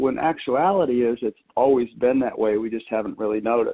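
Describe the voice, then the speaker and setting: A man with an American accent talks in a normal speaking voice at medium pitch, with ordinary pitch variation and a moderate pace. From US Northeast, Maine. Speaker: meditation teacher and lecturer. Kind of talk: interview.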